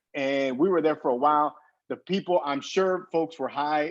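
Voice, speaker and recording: The voice is an unremarkable speaking voice with an American accent. Its pace is moderate and its pitch varies in an ordinary way. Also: man. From Texas, Brownsville, lower Rio Grande Valley. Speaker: historian and author. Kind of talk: casual chat.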